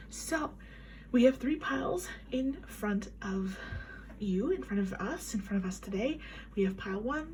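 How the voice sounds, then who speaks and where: A soft-spoken woman of medium pitch talks at a moderate pace with audible room echo. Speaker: tarot reader. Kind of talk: tarot reading. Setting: home at night. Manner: quiet.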